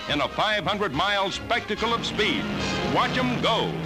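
The speaking moves at a moderate pace. Music plays clearly in the background. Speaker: newsreel narrator. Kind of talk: newsreel narration. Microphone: old recording.

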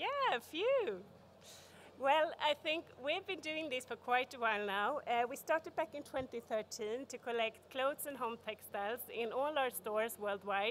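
Over light background noise, a woman speaks in a Swedish accent. Her pitch is high and her pace fairly slow. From Sweden. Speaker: corporate sustainability expert; conference speaker. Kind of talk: conference talk. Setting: stage with audience. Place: hall. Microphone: podium.

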